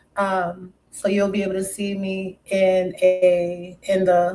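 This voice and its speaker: A woman with an American accent speaks in a dark, mellow tone, her intonation monotone and flat. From New York City, Brooklyn, West Indian family. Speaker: live streamer. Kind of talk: casual live stream chat. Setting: live stream.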